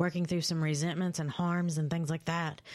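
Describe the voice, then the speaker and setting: In a Kentucky accent, a woman speaks at a fairly low pitch in a very clean recording with a silent background. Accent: Kentucky Southern American. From London, Kentucky (rural eastern Kentucky). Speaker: recovering addict and second-chance advocate. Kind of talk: interview testimony.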